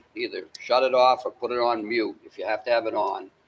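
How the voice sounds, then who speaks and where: Moderate pace over background music. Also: man. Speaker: town meeting moderator. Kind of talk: meeting chairing. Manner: halting, many repetitions.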